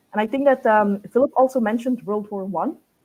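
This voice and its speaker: A woman with a non-native accent, a dark, mellow tone, ordinary pitch variation and a very fast pace. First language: not English. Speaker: book reviewer. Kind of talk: group book discussion.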